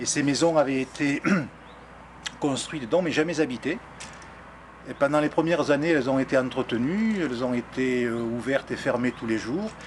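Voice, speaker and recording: With a southern French accent, a man of fairly high pitch talks at a moderate pace with long, frequent pauses over noticeable background noise. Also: ordinary pitch variation. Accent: southern French (Midi). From southern France, near Arles. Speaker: local resident, interviewee. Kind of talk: documentary interview. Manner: halting, many hesitations.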